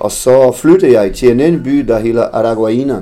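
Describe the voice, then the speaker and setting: A man speaks with a dark, mellow tone. He keeps a fairly slow pace. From Brazil, Tocantins. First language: Portuguese (speaking Danish). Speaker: former professional footballer. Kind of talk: interview. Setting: café. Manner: halting, repeats words.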